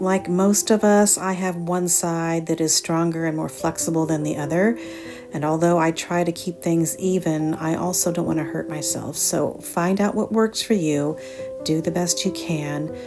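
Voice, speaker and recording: Over music in the background, a woman with a fairly low pitch speaks at a moderate pace in a gentle, calm tone with ordinary pitch variation. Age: 60s. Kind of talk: fitness instruction.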